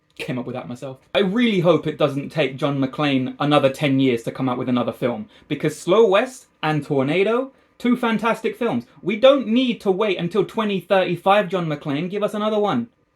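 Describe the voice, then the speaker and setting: A man with a London accent talks at a moderate pace in a high pitch, with very wide pitch swings. He leaves hardly any pauses. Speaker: film review youtuber. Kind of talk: film review monologue. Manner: casual, chatty.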